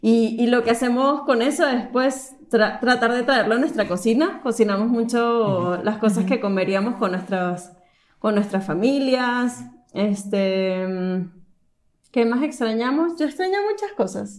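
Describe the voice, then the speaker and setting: A woman's fairly high voice at a fairly slow pace, with lively intonation. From Venezuela, Caracas. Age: 20s. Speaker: engineer. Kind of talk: casual chat. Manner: halting.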